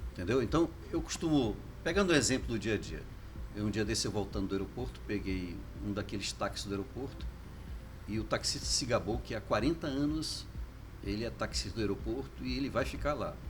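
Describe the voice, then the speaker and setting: A man talks at a fairly quick pace with long, frequent pauses, and audible room echo surrounds his voice. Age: 60s. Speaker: foundation director. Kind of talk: casual interview.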